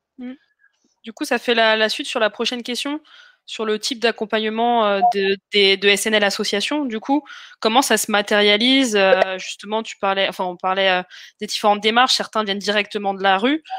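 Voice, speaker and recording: A woman speaks at a moderate pace with fairly high pitch, fairly even intonation, and a bright, sharp tone, in a dry, close recording with no echo. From France, Essonne. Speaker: crowdfunding campaign manager hosting live investor Q&A. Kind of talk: live webinar Q&A moderation. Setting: live online video stream. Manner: hesitant, many fillers.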